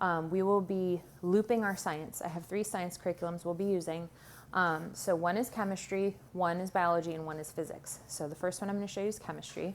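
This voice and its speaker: Speaking at a fairly quick pace, a woman uses a plain, everyday voice with a fairly low pitch. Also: fairly even intonation. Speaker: homeschooling parent. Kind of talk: curriculum show-and-tell video. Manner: casual with many filler ums.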